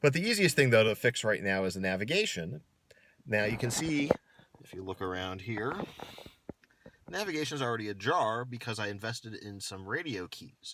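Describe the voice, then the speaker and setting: With a slight American accent, a man speaks at a moderate pace and medium pitch, his intonation lively and loudness swinging widely, with long, frequent pauses. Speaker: car enthusiast YouTuber. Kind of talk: casual DIY video narration.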